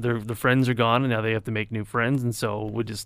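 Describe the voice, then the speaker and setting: On a very clean recording with a silent background, a man speaks with a Canadian accent. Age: 30s. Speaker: radio weather announcer. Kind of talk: casual chat. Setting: radio studio. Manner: halting, many fillers.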